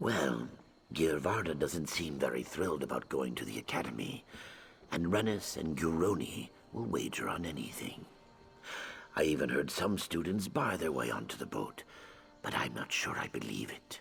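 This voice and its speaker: A man uses a put-on character voice with a very deep, low pitch. He keeps a moderate pace, with long, frequent pauses. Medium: video game. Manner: bright, chatty.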